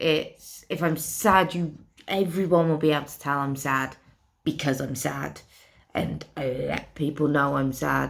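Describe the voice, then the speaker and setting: With vocal fry in a very deep, low voice, a woman speaks at a fairly slow pace and fairly even intonation. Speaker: vlogger with a brain injury. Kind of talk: personal vlog monologue. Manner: slurred at times.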